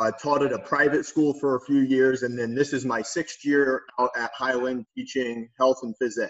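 Monotone, flat intonation marks this voice, which carries a Midwestern American accent. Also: man, medium pitch for a man, moderate pace. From northwest Ohio. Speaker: PE teacher and coach. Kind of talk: casual interview.

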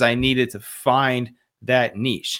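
The recording is very clean, with a silent background. A man speaks at medium pitch in a bright, sharp tone. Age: 30s. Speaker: leadership and dad coach. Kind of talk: interview conversation.

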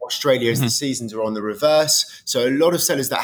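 Fairly even intonation marks this man's speech in a British accent. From England. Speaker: business development manager. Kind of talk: interview.

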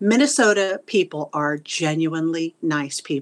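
In an American accent, a woman speaks with a very deep, low pitch against a quiet background. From Texas, Wichita Falls. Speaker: retired theater teacher. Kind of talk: interview.

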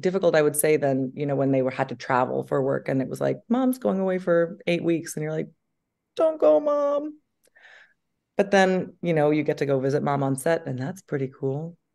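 At a moderate pace, a woman with an American accent speaks in a very deep, low pitch, her tone dark and mellow and her intonation lively. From US Northeast. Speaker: actress. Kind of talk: casual chat. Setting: video call. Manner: animated.

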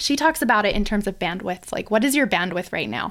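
This woman speaks at a medium pitch with vocal fry. The recording is very clean, with a silent background. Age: 30s. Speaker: speech-language pathologist and podcast host. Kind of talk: solo podcast monologue. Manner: casual, filler-heavy stream of consciousness.

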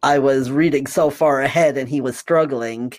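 A man with an unremarkable speaking voice, fairly high in pitch, with fairly even intonation. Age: 40s. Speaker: transgender man sharing his story. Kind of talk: casual chat.

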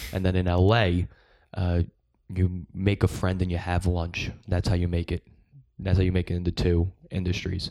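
In a very clean recording with a silent background, a man with an American accent speaks in a very deep, low pitch with a dark, mellow tone and flat, monotone intonation. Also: moderate pace. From US Northeast, Long Island. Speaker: stand-up comedian. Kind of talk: casual chat.

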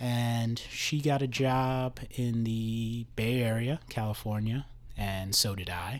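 Someone with an American accent talks at a very slow pace, keeping the intonation fairly even. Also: man, medium pitch for a man. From New Jersey. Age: 30s. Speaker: police officer. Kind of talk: casual interview.

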